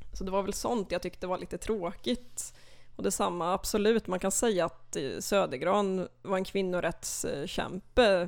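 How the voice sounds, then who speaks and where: Very clean recording with a silent background: a woman with a normal speaking voice, medium pitch, ordinary pitch variation and a fairly slow pace. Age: 20s. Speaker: literature student, literary society chair. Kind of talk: casual interview. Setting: podcast studio.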